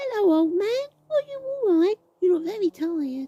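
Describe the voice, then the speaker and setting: A woman's squeaky, put-on character voice at an extremely high pitch, with very wide pitch swings and a dry, close sound with no echo. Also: moderate pace. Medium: read story. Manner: eager, bouncy.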